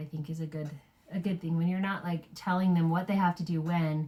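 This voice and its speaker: A woman speaks fairly quickly in a fairly low pitch, her dark, mellow tone somewhat breathy. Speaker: parenting podcast co-host. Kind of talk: casual chat.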